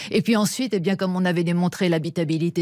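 A woman with a plain, everyday voice talks at a fairly quick pace with fairly even intonation. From France. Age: 50s. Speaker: astrobiologist. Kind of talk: radio interview.

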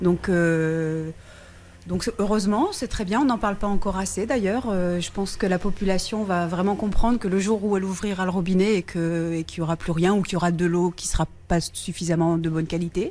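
Over noticeable background noise, a woman talks at a fairly quick pace in a medium pitch with fairly even intonation. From northern France. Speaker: caller. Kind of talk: phone-in testimony.

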